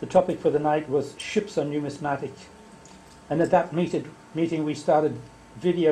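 A man with an Australian accent speaks at a fairly high pitch and a moderate pace. His intonation is fairly even, with light background noise. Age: old. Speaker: society officer; society office bearer giving report. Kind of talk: meeting report. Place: meeting room. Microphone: camera far.

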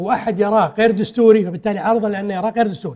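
A man speaks at a fairly quick pace with a high pitch against a quiet background. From Kuwait. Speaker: politician, party secretary-general; politician. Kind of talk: political TV interview. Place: studio. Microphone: lapel.

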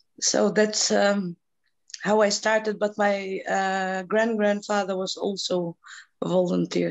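In a Macedonian accent, a woman speaks at a very slow pace. Her intonation is monotone and flat, and the background is quiet. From North Macedonia. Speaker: NGO president and peace activist. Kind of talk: panel discussion. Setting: video call. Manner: halting. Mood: warm, reflective. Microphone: video call.

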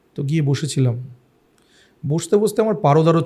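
Somewhat breathy, this man's voice carries a dark, mellow tone. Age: middle-aged. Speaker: food and travel vlogger. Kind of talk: podcast interview.

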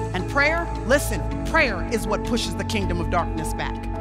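With clear music playing in the background, a woman talks at a moderate pace. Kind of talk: sermon. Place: stage. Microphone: headset.

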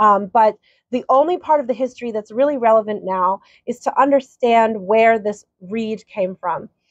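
A woman at a moderate pace, with ordinary pitch variation, against a quiet background. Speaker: spiritual course teacher. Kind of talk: lecture. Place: home room. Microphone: webcam.

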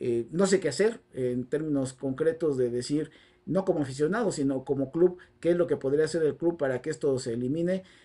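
At a fairly quick pace, the speech comes in a dark, mellow tone. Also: man, ordinary pitch variation. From Mexico. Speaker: football commentator. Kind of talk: solo video commentary. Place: home room. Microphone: lapel.

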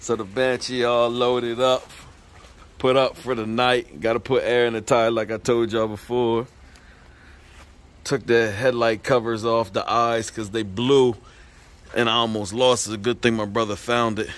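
Using a monotone, flat intonation at a moderate pace, a man speaks with long, frequent pauses in a dry sound with no echo. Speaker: vlogger. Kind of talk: casual vlog chat. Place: street. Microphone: phone near.

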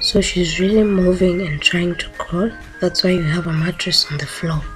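A woman speaks at a fairly slow pace. Clear music plays behind her. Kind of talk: casual vlog chat. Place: home room. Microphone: phone near.

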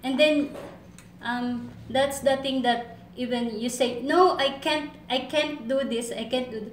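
A woman speaks at a fairly slow pace with fairly even intonation and a high pitch. Audible room echo and light background noise surround her voice. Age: 20s. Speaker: domestic helper applicant. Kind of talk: job interview. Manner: halting. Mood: earnest, eager to please. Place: office. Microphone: camera far.

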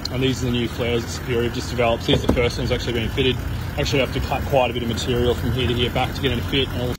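A man talks very fast while loud noise fills the background. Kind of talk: casual vlog chat. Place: garage. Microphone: phone near.

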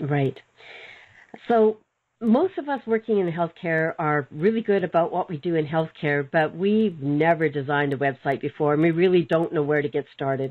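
At a moderate pace, a woman with an unremarkable speaking voice talks at a fairly low pitch with ordinary pitch variation. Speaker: webinar host, practice management mentor. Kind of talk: webinar interview.

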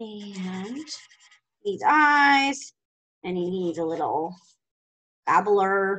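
Over a quiet background, a woman speaks very slowly. Her intonation is lively. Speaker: preschool teacher. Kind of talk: remote lesson for young children. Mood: warm, encouraging. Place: classroom. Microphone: webcam.

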